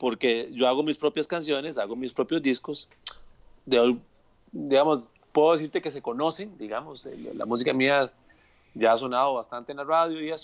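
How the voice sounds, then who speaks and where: A man speaks at a fairly high pitch and a moderate pace, with ordinary pitch variation. Long, frequent pauses break up his speech. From Costa Rica, Purral de Guadalupe; Costa Rica. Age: 40s. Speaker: music producer and arranger; guest. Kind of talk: casual video interview. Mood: relaxed, chatty. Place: home room. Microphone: earbuds.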